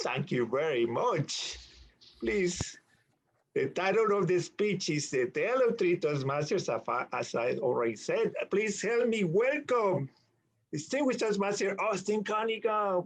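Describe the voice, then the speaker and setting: A high-pitched male voice at a fairly slow pace, with very wide pitch swings. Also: very even loudness. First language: not English. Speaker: meeting emcee. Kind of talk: club meeting introduction.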